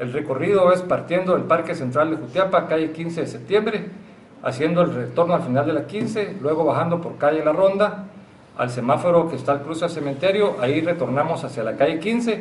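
Over light background noise and with audible room echo, a man speaks at a fairly quick pace with ordinary pitch variation. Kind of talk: press conference statement. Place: meeting room.

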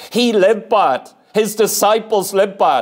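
Pitched high, a man's voice moves with ordinary pitch variation. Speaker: preacher. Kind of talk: sermon. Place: church. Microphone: lapel.

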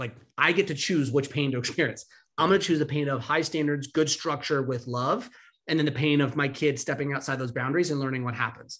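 Over a quiet background, a voice with an American accent and a bright, sharp tone goes at a very fast pace with fairly even intonation. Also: man. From California. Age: 30s. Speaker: discipline coach and founder of a daily email; discipline coach. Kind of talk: interview. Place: home room.

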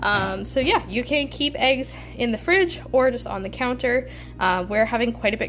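A woman talks while noticeable background noise carries on behind her. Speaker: homesteading vlogger. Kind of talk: casual vlog chat. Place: kitchen.

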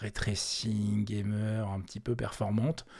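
A man speaks at a very slow pace, somewhat breathy. The recording is very clean, with a silent background. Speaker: tech podcast host. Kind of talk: live stream commentary. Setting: live stream. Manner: hesitant, many fillers.

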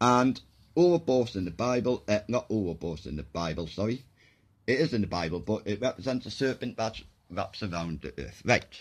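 This man's fairly low voice swings very widely in pitch as he talks at a moderate pace. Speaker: video blogger. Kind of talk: casual monologue explaining theories. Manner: rambling, hesitant with fillers. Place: home room. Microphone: phone near.

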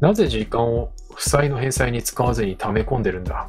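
Over music in the background, a soft-spoken man talks in a calm tone. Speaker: VTuber game streamer. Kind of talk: game let's play with dialogue reading. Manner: soft, calm for sleep.

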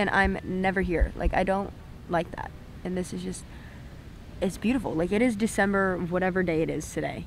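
There is light background noise. The sound is dry, with no echo. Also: woman. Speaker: vlogger. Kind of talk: casual vlog chat. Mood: relaxed, reflective. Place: beach. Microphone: phone near.

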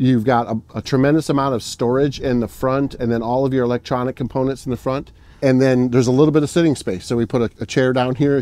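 Talking at a very fast pace with hardly any pauses, a man keeps a monotone, flat intonation and a dark, mellow tone. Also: dry sound with no echo. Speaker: trade show vendor. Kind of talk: product demo sales pitch. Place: open country.

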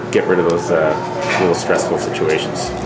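A man is speaking. Loud background noise fills the recording. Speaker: pool hall owner. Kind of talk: casual interview. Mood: relaxed, earnest. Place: bar.

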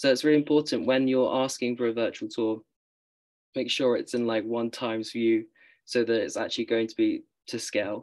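A man with a British accent talks at a fairly quick pace. His intonation is fairly even, and the background is quiet. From UK. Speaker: university student; panelist. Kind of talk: panel discussion. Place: home room. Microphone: video call.

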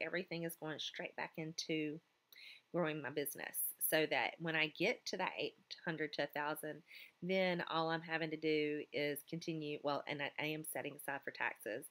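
This woman has a fairly low pitch and an American accent. She keeps a moderate pace. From US South. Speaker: teacher and clothing retailer vlogger. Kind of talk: casual vlog talk to camera. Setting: school office. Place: classroom. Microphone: phone near.

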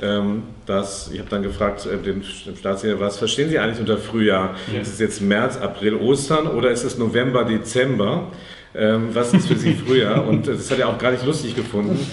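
With audible room echo, a man speaks at a moderate pace, his pitch varying in an ordinary way. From Karlsruhe, southwest Germany; Germany. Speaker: member of parliament; politician being interviewed. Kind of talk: interview. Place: shop. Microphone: lapel.

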